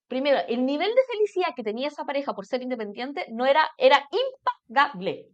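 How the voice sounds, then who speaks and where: Talking at a very fast pace, a woman uses a high, animated voice that makes very wide pitch swings. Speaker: mentor. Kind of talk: casual chat.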